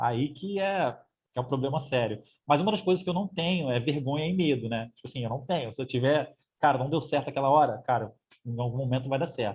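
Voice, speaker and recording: Very fast delivery from a man with a fairly high voice and ordinary pitch variation. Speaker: language-learning YouTuber. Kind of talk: interview.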